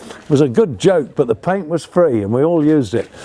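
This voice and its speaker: A man with a fairly high pitch swings very widely up and down, with noticeable background noise behind him. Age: 70s. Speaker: sailing author and vlogger. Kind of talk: casual talk to camera. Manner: animated.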